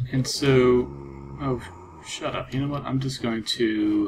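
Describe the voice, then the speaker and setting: A man speaking at a very slow pace, with noticeable background noise. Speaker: gaming video creator. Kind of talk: casual gameplay commentary. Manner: halting.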